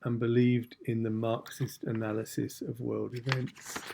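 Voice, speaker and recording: The pace here is moderate. The voice carries an English accent. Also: man. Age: 60s. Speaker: channel host. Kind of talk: scripted introduction. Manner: formal.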